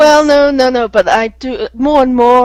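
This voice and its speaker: Speaking in a British accent, a woman lets her pitch vary in an ordinary way. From England. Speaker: English teacher. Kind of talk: casual group chat.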